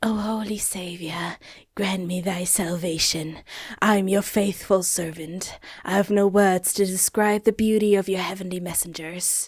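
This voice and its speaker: A female-sounding put-on character voice at a middle pitch moves at a moderate pace. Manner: weird, odd.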